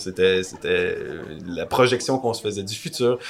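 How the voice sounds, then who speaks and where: There is noticeable background noise behind a man speaking at a medium pitch with ordinary pitch variation. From Quebec. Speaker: podcast co-host. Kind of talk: casual discussion.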